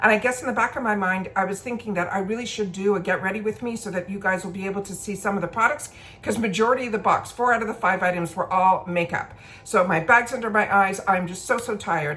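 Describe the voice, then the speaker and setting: Over noticeable background noise, a woman at medium pitch talks at a very fast pace with ordinary pitch variation. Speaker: beauty and makeup vlogger. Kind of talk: casual get-ready-with-me product review.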